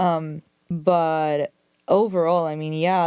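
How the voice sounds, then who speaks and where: Recorded very cleanly against a silent background, a woman talks with a Spanish accent. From Argentina. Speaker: film journalist. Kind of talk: casual chat. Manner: animated.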